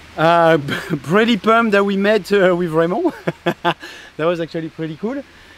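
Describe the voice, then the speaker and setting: Over noticeable background noise, a man speaks in a high voice. His pace is moderate, with long, frequent pauses. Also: ordinary pitch variation. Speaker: mountain bike coach and vlogger. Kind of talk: casual vlog narration. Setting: outdoors on a bike trail. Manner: animated.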